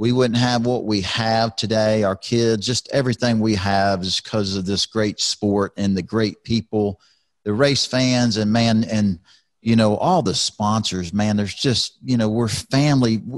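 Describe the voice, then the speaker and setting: The speaker has a Texan accent and talks at a fairly slow pace with fairly even intonation and very even loudness, recorded dry with no echo against a quiet background. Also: man, fairly low pitch for a man. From Texas, Houston. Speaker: retired NASCAR driver, podcast host; podcast host. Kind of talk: casual chat. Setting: video podcast from home. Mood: warm, sentimental. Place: studio. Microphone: studio mic.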